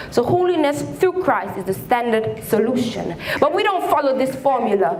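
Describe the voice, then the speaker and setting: The woman's high voice makes very wide pitch swings while noticeable background noise continues behind it. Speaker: spoken word poet. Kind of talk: spoken word poetry performance. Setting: live stage performance in a hall.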